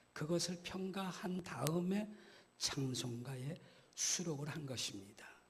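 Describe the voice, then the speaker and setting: A man's high voice with lively intonation at a very slow pace, plus audible room echo and noticeable background noise. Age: 60s. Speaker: guest pastor. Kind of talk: sermon. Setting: church.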